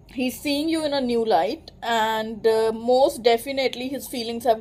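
The pace is moderate. The speaker is a woman. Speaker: tarot reader. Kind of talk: tarot reading for a client. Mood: calm, reassuring. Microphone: phone near.

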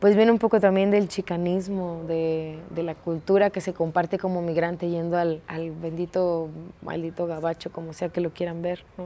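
Her voice is fairly low for a woman, delivered in a monotone, flat intonation. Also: moderate pace, hardly any pauses. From Escobedo, Nuevo León, northeast Mexico. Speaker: performer, dancer and theatre teacher. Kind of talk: interview answer. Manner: casual, colloquial. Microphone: lapel.

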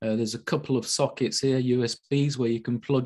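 A man speaks in a Yorkshire accent at medium pitch. His tone is dark and mellow, with fairly even intonation. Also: quiet background. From Yorkshire, Sheffield. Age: 60s. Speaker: physicist. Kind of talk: online talk. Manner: halting, many fillers.

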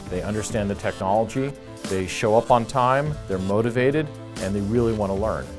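Clear music plays behind a man who speaks at a moderate pace with a fairly low pitch and ordinary pitch variation. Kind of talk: interview answer. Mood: positive, enthusiastic. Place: studio.

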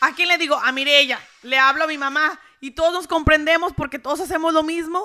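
A woman projects a raised, high voice with a bright, sharp tone and fairly even intonation. She talks at a fairly quick pace over a quiet background. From rural Mexico. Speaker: social media content creator. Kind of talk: casual interview. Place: studio. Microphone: handheld.

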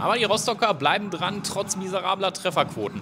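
An energetic-sounding man against noticeable background noise. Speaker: basketball commentator. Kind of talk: sports highlights commentary, voiceover recap. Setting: studio voiceover over game footage. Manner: brisk, energetic play-by-play delivery; rattles off stats and names in a flow.

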